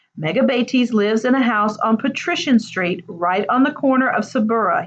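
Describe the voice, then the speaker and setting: A woman does a gruff, put-on character voice at a fairly high pitch. Her intonation is lively and her pace moderate. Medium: read story. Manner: gruff, offhand.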